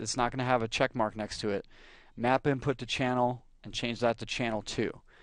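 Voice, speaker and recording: A plain, everyday voice from a man, medium in pitch, with fairly even intonation over a quiet background. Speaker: music software tutorial creator. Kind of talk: tutorial. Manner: casual, frequent fillers.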